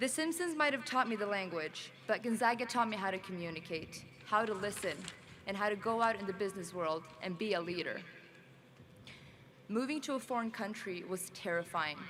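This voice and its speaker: A woman with a medium pitch speaks at a fairly quick pace with a non-native accent. Her intonation is lively, and she takes long, frequent pauses. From Sweden. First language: not English. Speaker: graduate student speaker. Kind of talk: commencement speech.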